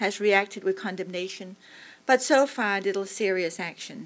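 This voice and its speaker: A woman talks in an ordinary speaking voice. Her pace is moderate, with ordinary pitch variation. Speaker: think tank fellow and moderator. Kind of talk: panel moderation. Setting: stage with audience. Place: hall. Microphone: podium.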